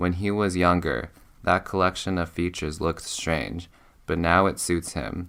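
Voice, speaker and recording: A man speaks at a fairly slow pace in a very deep, low voice with a bright, sharp tone and fairly even intonation, on a very clean recording with a silent background. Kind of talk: audiobook reading for sleep. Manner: monotone, droning.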